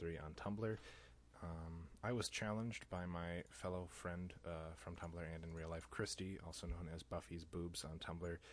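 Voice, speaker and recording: Audible room echo surrounds a man with an American accent and a very deep, low pitch. He keeps a moderate pace and fairly even intonation. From US Midwest, Chicago area (Lake Zurich, Illinois). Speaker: social media user doing accent challenge. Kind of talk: casual self-recorded challenge, reading word list. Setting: self-recording. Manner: casual, frequent fillers.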